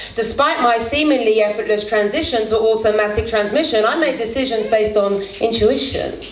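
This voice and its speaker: A woman talks at a fairly quick pace with hardly any pauses, keeping her fairly high voice at a very even loudness. Noticeable background noise runs underneath. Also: ordinary pitch variation. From London. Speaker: spoken word poet. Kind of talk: live spoken word poetry performance. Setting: live venue. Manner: raw, emotive.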